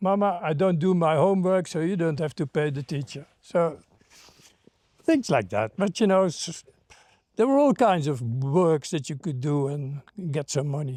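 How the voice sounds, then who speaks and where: At a moderate pace, a man talks with lively intonation, a fairly high pitch and a dark, mellow tone. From Netherlands. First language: Dutch. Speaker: former hippie. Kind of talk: interview. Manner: halting.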